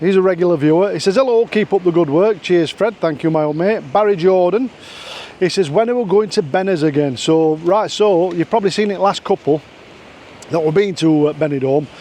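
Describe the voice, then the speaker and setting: Over noticeable background noise, a man with a Yorkshire accent speaks at a moderate pace in a high pitch for a man, with ordinary pitch variation and very even loudness. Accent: broad Yorkshire. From Yorkshire, northern England. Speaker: vlogger. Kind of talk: casual vlog chat, reading viewer comments. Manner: halting, with fillers and restarts.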